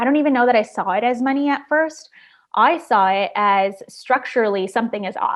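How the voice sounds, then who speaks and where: A woman with a Chicago accent speaks fairly quickly in a high voice, with ordinary pitch variation. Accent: Chicago American English. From Chicago, northwest side (US Midwest). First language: Spanish. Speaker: journalist and podcast host. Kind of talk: interview conversation.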